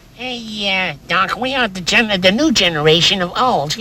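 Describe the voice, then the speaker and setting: A female-sounding voice puts on a character voice. It sits at medium pitch for a woman. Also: moderate pace. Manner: cool, laid-back.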